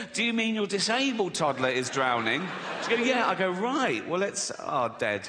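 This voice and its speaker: A raised, projected voice with very wide pitch swings and very even loudness, over noticeable background noise. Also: man, high pitch for a man, moderate pace. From England. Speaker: stand-up comedian. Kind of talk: stand-up comedy performance. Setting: live stage with audience.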